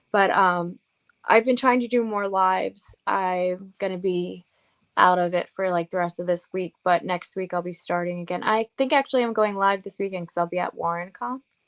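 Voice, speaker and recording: A woman with an American accent speaks at a moderate pace with ordinary pitch variation, in a dry, close sound with no echo. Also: medium pitch for a woman, quiet background. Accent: Long Island accent, toned down but coming out. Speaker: paranormal investigator and author. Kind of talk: interview. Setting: radio show.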